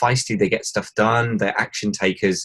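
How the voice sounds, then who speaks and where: This is a man speaking. He has an English accent. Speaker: e-commerce consultant and podcast host. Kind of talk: podcast interview. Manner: hesitant, with many fillers.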